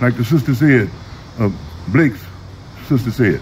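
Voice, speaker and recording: With an American accent and lively intonation, a man talks at a moderate pace against noticeable background noise. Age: 70s. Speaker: activist. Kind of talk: rally speech. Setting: outdoors. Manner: animated; loud.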